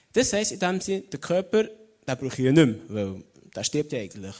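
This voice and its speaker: A man talks at a fairly quick pace. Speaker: theology student and lay preacher. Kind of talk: sermon. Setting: stage with audience.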